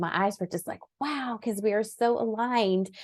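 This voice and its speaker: A woman speaks in an ordinary speaking voice at a moderate pace with ordinary pitch variation, the sound dry and close with no echo against a quiet background. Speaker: meditation coach and business owner. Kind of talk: casual chat.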